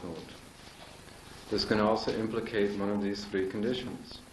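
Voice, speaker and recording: Noticeable background noise sits under a man whose pitch is fairly low. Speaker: astrology lecturer. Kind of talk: live lecture to an audience.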